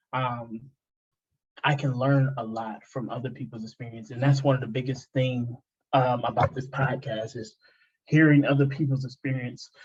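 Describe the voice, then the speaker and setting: Somewhat breathy, a man talks with monotone, flat intonation. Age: 20s. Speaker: podcast host. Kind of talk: casual interview chat. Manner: halting, many fillers and repeats.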